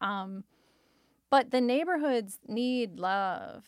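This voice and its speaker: With a Michigan accent, a woman talks at a fairly high pitch on a very clean recording with a silent background. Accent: Midwestern American (Michigan). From Detroit, Michigan. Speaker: podcast co-host and entrepreneur. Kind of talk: casual interview.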